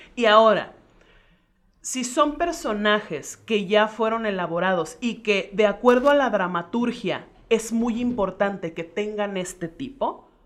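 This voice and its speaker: Her fairly high voice moves at a fairly slow pace, with ordinary pitch variation from this woman. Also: very clean recording, silent background. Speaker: actress, singer and vocal coach. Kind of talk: casual chat. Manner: cheerful, joyful tone; commanding, well-articulated speech.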